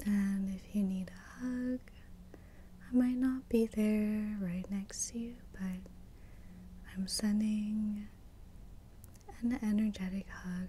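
A soft-spoken woman with a warm tone talks at a very slow pace. She leaves long, frequent pauses over light background noise. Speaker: Reiki master teacher. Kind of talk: ASMR reiki session. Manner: whispered; soft-spoken, warm, encouraging. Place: home room. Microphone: studio mic.

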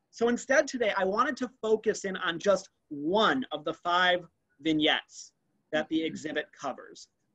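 Against a quiet background, a man uses a raised, projected voice in a high pitch, with lively intonation and long, frequent pauses. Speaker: anthropology museum curator. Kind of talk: virtual museum tour presentation. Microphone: webcam.

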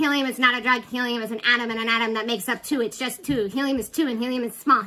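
Over light background noise, a squeaky, put-on character voice rattles along at a very fast pace. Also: woman, high pitch for a woman.

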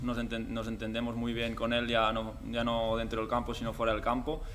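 The speaker is a man. Light background noise sits under his voice. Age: 20s. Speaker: footballer. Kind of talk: press conference. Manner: halting, many repeated words and fillers. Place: hall. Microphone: podium.

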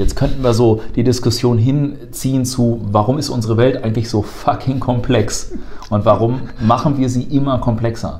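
Noticeable background noise sits behind this man's voice. He speaks at medium pitch and a moderate pace with fairly even intonation. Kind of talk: casual educational chat.

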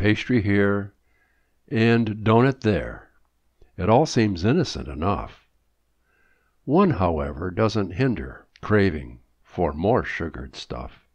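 Very slow, fairly low male speech with vocal fry, very wide pitch swings and long, frequent pauses against a quiet background. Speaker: poet. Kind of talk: poem reading, humorous rhyming verse read aloud.

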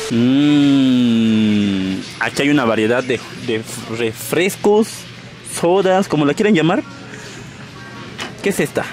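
Very slow speech in a dry sound with no echo, with clear music in the background. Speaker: vlogger. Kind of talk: casual vlog chat. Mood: playful, joking. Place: shop. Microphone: phone near.

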